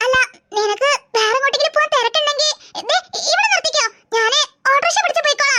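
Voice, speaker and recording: In a cartoonish character voice, a woman squeaks at an extremely high pitch with lively intonation and very even loudness, the sound dry and close with no echo. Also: fairly quick pace. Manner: hesitant, stammering.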